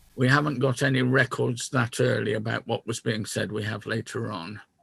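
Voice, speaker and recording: A man's somewhat breathy, medium-pitched voice in a dry, close sound with no echo. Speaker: Quaker talk speaker. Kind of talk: talk reading historical letters to a discussion group. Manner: halting, many fillers.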